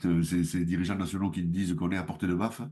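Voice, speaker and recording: With a southwestern French accent, a man speaks at a very deep, low pitch in a dark, mellow tone. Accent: southwest French. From southwest France. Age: 60s. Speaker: mayor. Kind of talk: interview. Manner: hesitant, many fillers.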